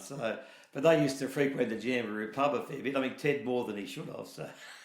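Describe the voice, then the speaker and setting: A man in a rural Australian accent talks at a fairly quick pace, medium in pitch with ordinary pitch variation. Noticeable background noise and audible room echo are present. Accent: broad rural Australian. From New South Wales south coast, Australia. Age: 60s. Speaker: dairy farmer. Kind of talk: oral history interview. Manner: conversational, hesitant with fillers.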